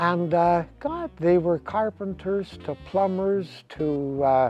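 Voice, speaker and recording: With music in the background, a man speaks at a very slow pace in a high pitch. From Winnipeg, Canada. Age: 70s. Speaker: retired motorcycle racer. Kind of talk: interview answer.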